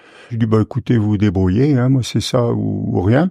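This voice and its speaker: A man speaks in a dark, mellow tone with ordinary pitch variation. The sound is dry and close, with no echo. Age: 60s. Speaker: retired forestry worker and poet. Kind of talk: interview testimony. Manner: hesitant, many filler sounds.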